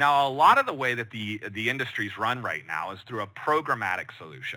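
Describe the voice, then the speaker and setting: The tone is bright and sharp, with lively intonation and vocal fry. It moves at a fairly quick pace in an American accent. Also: man. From Chicago, US Midwest. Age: 30s. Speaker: digital marketing director. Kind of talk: online training workshop. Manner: many filler words.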